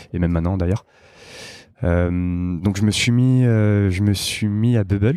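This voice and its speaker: A dark, mellow tone in a man's very deep, low voice. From Paris, France. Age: 20s. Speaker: product team lead at a startup. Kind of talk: podcast interview. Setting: company office.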